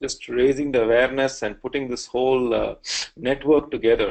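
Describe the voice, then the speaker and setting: A man speaks with an Indian accent at a medium pitch. His pace is moderate. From India (various regions). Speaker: pediatric cardiologist. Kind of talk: lecture.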